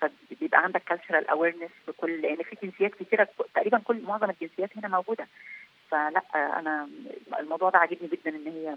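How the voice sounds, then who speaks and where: A woman with a fairly low voice talks fairly quickly, her loudness swinging widely and her pitch varying in an ordinary way. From Egypt. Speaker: peacekeeping military officer. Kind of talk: interview.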